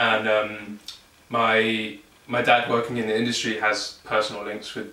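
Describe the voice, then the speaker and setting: A man with a southern English accent speaks at a fairly low pitch in a monotone, flat way, amid noticeable background noise and audible room echo. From southern England, Surrey. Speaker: electronic musician. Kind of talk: casual interview.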